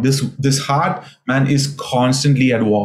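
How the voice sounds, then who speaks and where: A man speaks in a somewhat breathy voice. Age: 40s. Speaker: pastor. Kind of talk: sermon. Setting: remote video recording.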